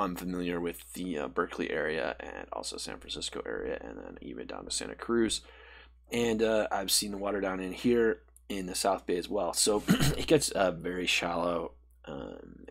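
A man at a fairly quick pace, with big swings in loudness. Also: quiet background. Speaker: presenter. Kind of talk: tutorial.

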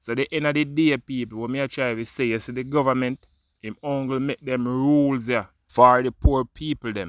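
Recorded very cleanly with a silent background and a dry, close sound with no echo, a man speaks at medium pitch in a bright, sharp tone. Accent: Jamaican. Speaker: vlogger, news commentator. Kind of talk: opinion vlog monologue. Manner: animated.

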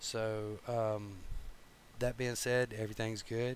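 The voice is monotone, with flat intonation, over light background noise and with a dry sound with no echo. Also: man. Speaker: teacher. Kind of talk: lecture. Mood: apologetic, relaxed. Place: home room. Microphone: headset.

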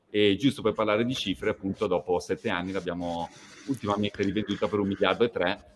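Light background noise sits behind a man with a very deep, low voice. He speaks very fast with fairly even intonation. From northern Italy, near Verona; northern Italy. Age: 40s. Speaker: fashion company executive; guest. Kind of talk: interview. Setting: video call. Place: home room.

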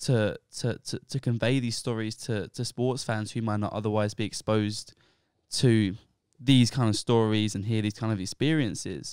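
A man speaks with a British accent at a moderate pace and fairly even intonation. The sound is dry with no echo, and the background is quiet. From England. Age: 20s. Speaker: podcast host, recent university graduate. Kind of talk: casual podcast chat and interview. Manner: hesitant, repeats words. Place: home room. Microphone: handheld.

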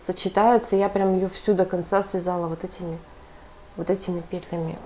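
A woman's monotone, flat intonation carries along at a moderate pace. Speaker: knitting vlogger. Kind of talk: casual vlog. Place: home room. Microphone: earbuds.

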